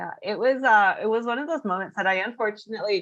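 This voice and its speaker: A woman with a Canadian accent uses a normal speaking voice at medium pitch. She talks at a fairly quick pace with lively intonation. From western Canada (Edmonton, Vancouver, Kelowna). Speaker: freelancer guest. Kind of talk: casual interview chat.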